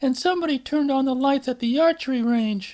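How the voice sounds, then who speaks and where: A put-on character voice races along at a very fast pace in a high pitch. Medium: read story. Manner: anxious, earnest.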